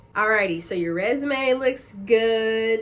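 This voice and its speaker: A woman's medium-pitched, plain, everyday voice with lively intonation. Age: 20s. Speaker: YouTuber. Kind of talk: tutorial. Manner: casual.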